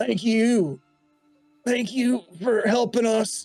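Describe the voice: A put-on character voice, gruff and raspy, with a fairly high pitch. It moves at a very slow pace over music in the background.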